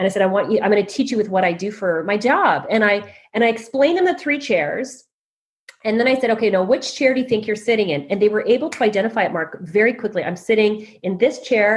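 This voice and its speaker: A woman with a Canadian accent talks at a very fast pace in a fairly high, somewhat breathy voice with lively intonation. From Canada. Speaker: leadership coach and author. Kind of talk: interview.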